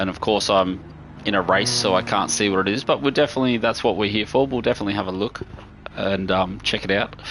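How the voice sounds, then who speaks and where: A man at a fairly low pitch with ordinary pitch variation, talking at a very fast pace over noticeable background noise. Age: 40s. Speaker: gaming streamer. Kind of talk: live gameplay stream chat. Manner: casual, rambling with false starts.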